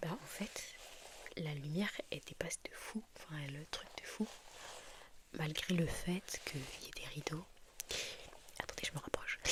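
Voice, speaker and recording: Whispering at a fairly slow pace, a woman leaves long, frequent pauses amid noticeable background noise. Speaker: ASMR creator. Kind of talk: casual ASMR talk to camera. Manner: soft-spoken.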